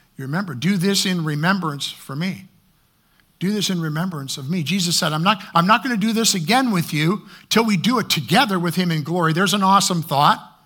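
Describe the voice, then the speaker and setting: Recorded very cleanly with a silent background, a man speaks in a high pitch with a bright, sharp tone. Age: 60s. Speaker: preacher. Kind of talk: sermon. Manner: halting.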